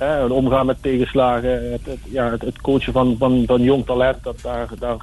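A man talks at a moderate pace. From Netherlands, Kerkrade (Limburg). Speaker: former footballer and youth coach. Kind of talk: radio interview.

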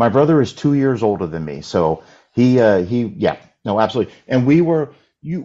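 A man with an American accent, medium pitch and very wide pitch swings. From United States. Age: 40s. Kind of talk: casual chat.

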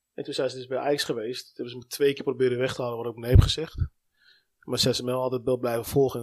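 This man talks very fast at a medium pitch, his intonation monotone and flat. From Amsterdam, Netherlands. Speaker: sports agent, former youth footballer and coach. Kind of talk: casual chat.

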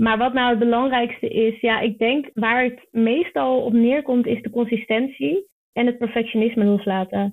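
A woman speaks in a plain, everyday voice at a fairly high pitch. Her pace is moderate and her pitch variation ordinary. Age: 20s. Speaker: online marketer and business coach. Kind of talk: podcast interview.

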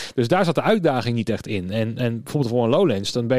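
A man at a very fast pace, medium pitch, with ordinary pitch variation. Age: 30s. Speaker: podcast host, event technician. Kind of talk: casual interview chat. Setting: studio.

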